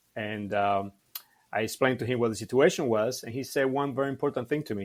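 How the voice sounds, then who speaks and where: A man talks at a fairly quick pace with a medium pitch and fairly even intonation. The recording is very clean, with a silent background. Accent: Cuban. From Cuba. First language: Spanish. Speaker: martial arts instructor. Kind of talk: podcast interview. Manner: halting, many fillers.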